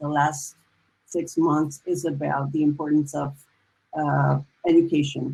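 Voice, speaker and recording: A woman speaks at a fairly slow pace with a Spanish accent. Her voice sits very deep and low. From Dominican Republic. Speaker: musician and novelist. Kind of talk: panel discussion. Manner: halting.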